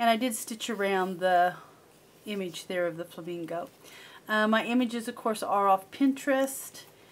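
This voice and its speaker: The speaker is a woman talking at a moderate pace. Her pitch variation is ordinary. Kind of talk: casual show-and-tell narration. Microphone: camera far.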